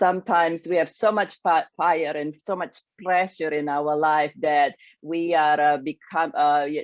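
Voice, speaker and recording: A woman with an Indonesian accent speaks fairly slowly at a very deep, low pitch with ordinary pitch variation, in a dry, close recording with no echo and a quiet background. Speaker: grief and success coach. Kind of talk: interview talk. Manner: halting.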